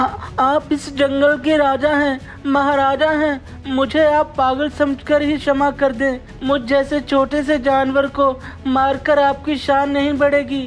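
A shaky, put-on character voice that sounds female talks at a moderate pace over clear background noise. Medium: cartoon. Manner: trembling, pleading.

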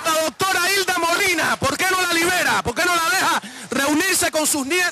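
Over noticeable background noise, a man talks at a moderate pace in a raised, projected voice. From Cuba, Marianao (Havana). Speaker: journalist. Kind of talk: testimony.

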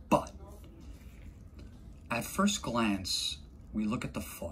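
A man with a fairly low pitch and vocal fry speaks over light background noise. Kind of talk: clinical explanation to viewers. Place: office.

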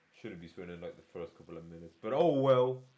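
This man's dark, mellow tone carries very wide pitch swings. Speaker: gaming streamer. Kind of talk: let's play commentary. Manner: energetic.

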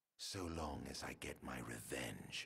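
In a put-on character voice, a man speaks at an extremely low pitch with vocal fry and a bright, sharp tone, at a fairly slow pace. The recording is very clean, with a silent background. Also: lively intonation.

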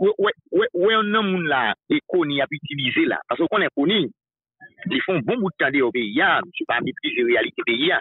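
Against a quiet background with dry sound and no echo, a man speaks at a moderate pace in a high voice with very wide pitch swings. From Haiti. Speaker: political news commentator. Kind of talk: political talk show discussion. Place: studio.

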